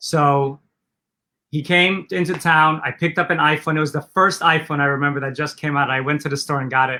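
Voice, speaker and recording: In a very clean recording with a silent background, a man talks at a fairly quick pace. His fairly high voice has a bright, sharp tone and fairly even intonation. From Poland, moved to Los Angeles at 11. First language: Polish. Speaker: entrepreneur, former film maker. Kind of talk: interview.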